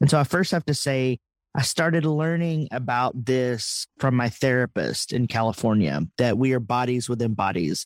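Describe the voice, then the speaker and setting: A medium-pitched man with a Texan accent at a moderate pace, with very even loudness, in a very clean recording with a silent background. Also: lively intonation, dry, close sound with no echo. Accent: Texan accent, brought back after hiding it. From Texas. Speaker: theologian and author. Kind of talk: interview conversation.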